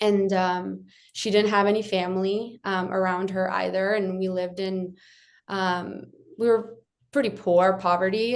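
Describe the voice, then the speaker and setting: Speaking at a fairly slow pace, a woman keeps a monotone, flat intonation at a medium pitch. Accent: American. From Ukraine, then adopted to the US at 11. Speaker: UX designer and adoption advocate. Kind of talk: interview. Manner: hesitant, many fillers.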